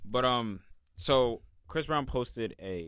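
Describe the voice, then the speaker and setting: A plain, everyday voice with lively intonation on a very clean recording with a silent background. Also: man. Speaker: podcast host. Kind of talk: casual chat.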